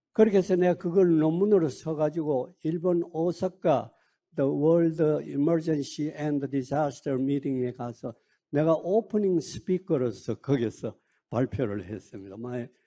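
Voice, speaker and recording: Against a quiet background, a man speaks at a very slow pace. His voice is fairly high, with a dark, mellow tone. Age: 80s. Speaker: retired emergency physician. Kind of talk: speech to colleagues. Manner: halting, frequent fillers.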